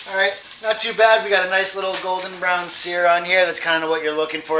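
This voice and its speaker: Amid noticeable background noise and audible room echo, a man with a high pitch talks at a very fast pace, using ordinary pitch variation. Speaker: cooking youtuber. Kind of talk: cooking tutorial. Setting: home kitchen. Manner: casual, conversational; loud over sizzle.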